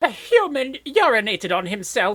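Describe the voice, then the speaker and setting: At a moderate pace, a female-sounding put-on character voice speaks with a high pitch. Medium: audio drama. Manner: formal, haughty.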